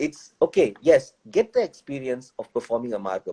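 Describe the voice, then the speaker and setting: The sound is dry and close with no echo as a man talks fairly quickly. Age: 40s. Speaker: dancer and choreographer. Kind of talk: interview.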